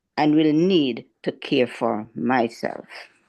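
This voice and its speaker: A woman speaks at a very slow pace with vocal fry and very wide pitch swings. The background is quiet. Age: 70s. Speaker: personal care attendant. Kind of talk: testimony. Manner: formal.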